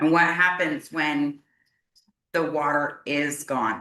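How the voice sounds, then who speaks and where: A woman speaks loudly with a very deep, low pitch. Her tone is bright and sharp. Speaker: resident speaking at public hearing. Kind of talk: public comment at county meeting. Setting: county commissioners court hearing. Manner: emotional, halting.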